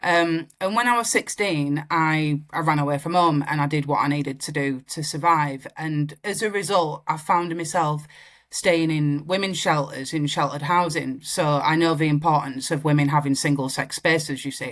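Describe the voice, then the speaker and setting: A woman's very deep, low voice with a Yorkshire accent, at a moderate pace with hardly any pauses and ordinary pitch variation, on a very clean recording with a silent background. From northern England, Wakefield. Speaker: singer-songwriter. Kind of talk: interview.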